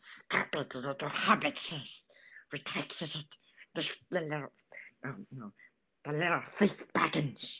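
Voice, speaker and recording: A put-on character voice at a middle pitch moves at a very slow pace with long, frequent pauses, on a very clean recording with a silent background. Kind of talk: comic impression. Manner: hissing, obsessive.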